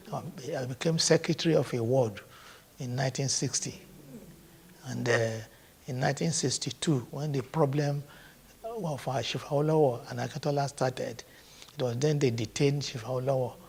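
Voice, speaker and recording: Somewhat breathy and with a Nigerian accent, a man speaks at a moderate pace and medium pitch, using fairly even intonation and long, frequent pauses. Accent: Nigerian (Yoruba) English. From Nigeria, Ogun State. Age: 80s+. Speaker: traditional ruler. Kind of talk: interview answer.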